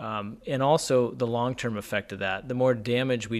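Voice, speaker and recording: With an American accent, a man uses an unremarkable speaking voice at a medium pitch. He keeps a moderate pace and fairly even intonation. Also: very clean recording, silent background. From US, northeast Pennsylvania. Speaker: family doctor. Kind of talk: radio interview.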